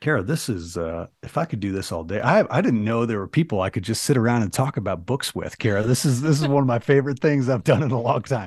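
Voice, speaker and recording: With a Midwestern American accent, a man races along at a very fast pace. He barely pauses, and his intonation is lively. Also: medium pitch for a man. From US Midwest (small town, southwest Michigan). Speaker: entrepreneur, public speaker and author. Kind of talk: casual interview chat. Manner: halting, many false starts; engaging speaker.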